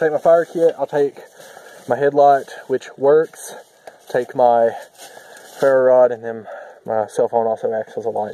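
A man speaks at a moderate pace with long, frequent pauses, and the sound is dry with no echo. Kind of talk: casual vlog chat. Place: forest. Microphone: camera far.

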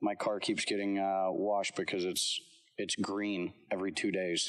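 A man speaks at a fairly low pitch and moderate pace. The background is quiet. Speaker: lacrosse coach. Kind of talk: casual roundtable chat. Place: studio.

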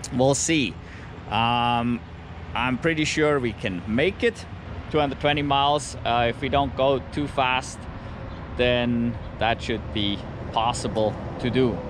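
Amid noticeable background noise, a man speaks with ordinary pitch variation and long, frequent pauses, the sound dry with no echo. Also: fairly slow pace. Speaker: EV road trip vlogger. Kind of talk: casual vlog chat. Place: street. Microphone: phone near.

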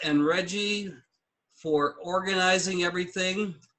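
With a bright, sharp tone, a man speaks at a very slow pace and a fairly even intonation. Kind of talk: meeting announcements. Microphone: video call.

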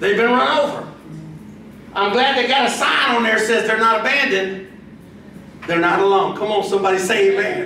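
Raised and projected, a man's high-pitched voice carries an animated, warm tone, with ordinary pitch variation, very even loudness, a fairly quick pace, and long, frequent pauses, amid light background noise and audible room echo. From Brazil. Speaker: pastor. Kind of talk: sermon. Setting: church with congregation. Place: church.

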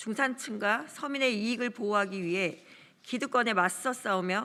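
Bright and sharp in tone, a woman's fairly high voice moves at a fairly slow pace with lively intonation. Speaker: first-term lawmaker. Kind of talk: press statement reading. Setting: press conference room. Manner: formal.

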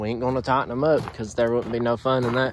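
A man's voice in dry sound with no echo, plus noticeable background noise. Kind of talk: casual vlog chat. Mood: joking, relaxed. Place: street. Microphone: phone near.

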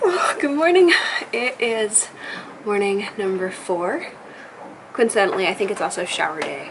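A woman talks at a fairly slow pace. Light background noise can be heard. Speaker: sailing vlogger. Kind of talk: casual vlog chat. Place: boat. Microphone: phone near.

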